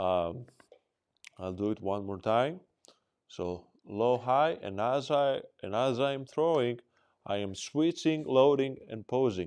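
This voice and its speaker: A man speaks at a very slow pace with long, frequent pauses. His medium-pitched voice has lively intonation. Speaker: disc dog trainer. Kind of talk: demonstration tutorial. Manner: casual, thinking aloud.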